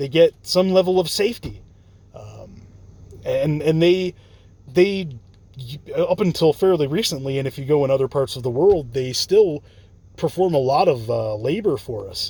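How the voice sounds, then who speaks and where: Somewhat breathy and dark, mellow in tone, a fairly high-pitched male voice moves at a moderate pace. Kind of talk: casual talk to camera, free-form lecture. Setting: parked car at night.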